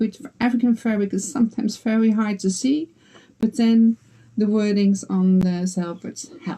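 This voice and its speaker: Somewhat breathy and dark, mellow in tone, a woman's fairly high voice carries ordinary pitch variation. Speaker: quilter and box maker. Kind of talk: tutorial.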